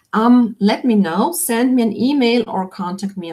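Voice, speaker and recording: A woman with a non-native accent speaks in a somewhat breathy voice. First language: not English. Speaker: online business coach. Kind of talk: live webinar Q&A. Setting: live video stream.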